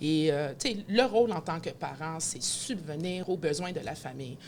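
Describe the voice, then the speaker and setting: Over noticeable background noise, a woman with a fairly low pitch speaks at a moderate pace. Her tone is energetic and her intonation lively. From Quebec, Montreal. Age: 40s. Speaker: event host and announcer. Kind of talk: podcast interview.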